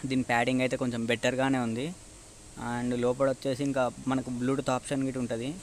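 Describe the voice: Fast and monotone, a man speaks at a medium pitch.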